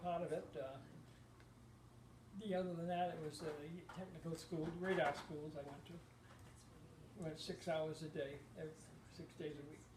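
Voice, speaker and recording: A high-pitched man with an American accent, fairly even intonation and long, frequent pauses, amid audible room echo and noticeable background noise. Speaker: war veteran. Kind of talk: oral history interview. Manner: halting.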